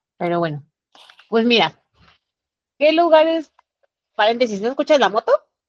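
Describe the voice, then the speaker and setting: In a Mexican accent, a woman with a fairly high voice speaks at a moderate pace with very wide pitch swings and long, frequent pauses, the sound dry and close with no echo. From Mexico City. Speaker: traveler sharing trip experience. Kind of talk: casual chat.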